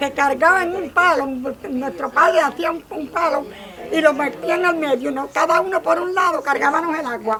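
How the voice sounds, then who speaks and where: Amid noticeable background noise, a woman projects a raised, high-pitched voice at a moderate pace with lively intonation. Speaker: elderly workshop participant. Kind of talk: casual chat.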